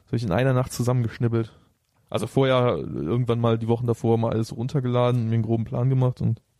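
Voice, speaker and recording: With a dark, mellow tone, a man speaks at a very fast pace. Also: medium pitch for a man, fairly even intonation. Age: 30s. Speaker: rapper. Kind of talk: casual chat. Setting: host's home.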